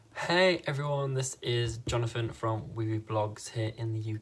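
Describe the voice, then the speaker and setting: Ordinary rise and fall in pitch over a somewhat breathy sound. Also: man. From northern England, Leeds, Yorkshire. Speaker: YouTuber and fan site editor. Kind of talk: reaction video.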